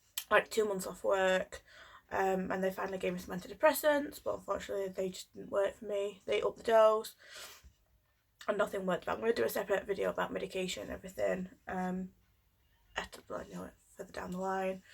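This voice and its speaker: A woman with a Yorkshire accent, very fast delivery, long and frequent pauses, and big swings in loudness. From Yorkshire, England. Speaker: mental health nurse. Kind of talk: casual talk to camera. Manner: hesitant, many fillers.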